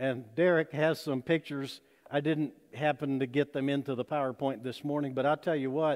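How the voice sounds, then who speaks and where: At a moderate pace and with ordinary pitch variation, a man speaks against a quiet background. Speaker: pastor. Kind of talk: sermon. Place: church. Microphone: podium.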